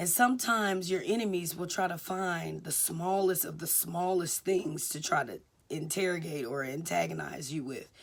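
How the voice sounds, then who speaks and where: With big swings in loudness and some vocal fry, a woman talks at a moderate pace in a fairly low pitch. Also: ordinary pitch variation. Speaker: vlogger giving life advice. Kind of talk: casual monologue.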